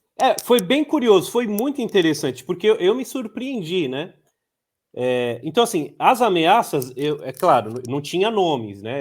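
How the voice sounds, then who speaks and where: His pitch leaps across a very wide range. The man keeps to a rather slow pace. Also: very clean recording, silent background. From São Paulo, Brazil (Heliópolis favela). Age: 30s. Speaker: journalist and author. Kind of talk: interview. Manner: halting, many fillers and repetitions.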